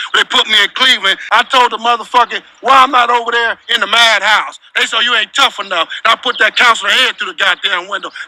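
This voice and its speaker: A man speaks in an extremely high pitch, his voice raised and projected. He talks at a fairly quick pace with hardly any pauses over noticeable background noise. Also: dry, close sound with no echo. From Compton, Los Angeles, California. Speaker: former gang member and ex-prisoner. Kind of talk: storytelling interview. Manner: animated, heavy swearing.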